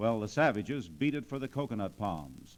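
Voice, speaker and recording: A plain, everyday voice moves at a moderate pace, its intonation lively. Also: man. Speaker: newsreel narrator. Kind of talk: radio story narration.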